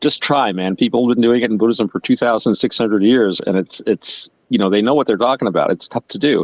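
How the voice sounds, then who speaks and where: A man talks at medium pitch and a very fast pace with hardly any pauses, in a dry, close sound with no echo. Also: ordinary pitch variation. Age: 60s. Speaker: podcast co-host. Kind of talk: casual discussion. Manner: relaxed, conversational with many fillers.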